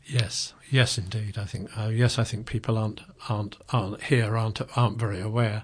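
At a moderate pace, a man speaks with a medium pitch in a monotone, flat intonation. His voice is somewhat breathy. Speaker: community radio host. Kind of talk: interview. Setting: studio. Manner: halting.

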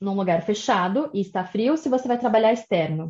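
Her intonation is lively. Behind the woman, all is quiet. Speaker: immigration and study abroad advisor. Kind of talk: interview.

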